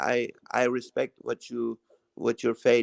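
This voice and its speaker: The pace is fairly slow. The speaker is a man with a non-native accent. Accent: foreign. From Iran. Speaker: live stream guest, YouTuber. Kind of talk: casual chat. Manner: halting.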